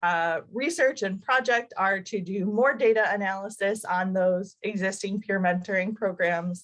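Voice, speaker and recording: A woman with an unremarkable speaking voice talks at medium pitch. Her pace is fairly slow, with ordinary pitch variation. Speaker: doctoral student presenter. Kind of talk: academic presentation. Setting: video call.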